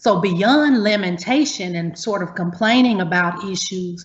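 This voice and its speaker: A woman with a Southern US accent speaks at a moderate pace in a somewhat breathy voice. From US Deep South. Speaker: university academic, panelist. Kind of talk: prepared panel remarks. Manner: formal.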